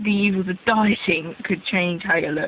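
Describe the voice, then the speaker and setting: With an English accent, a woman speaks at a medium pitch with ordinary pitch variation over noticeable background noise. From England (born in Israel, raised in England from age 3-4). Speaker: vlogger. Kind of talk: casual vlog monologue.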